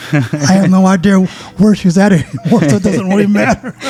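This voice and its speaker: Noticeable background noise accompanies a man with an American accent. His voice is high-pitched, with ordinary pitch variation. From Pittsburgh, Pennsylvania. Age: 70s. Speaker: saxophone player. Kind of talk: interview.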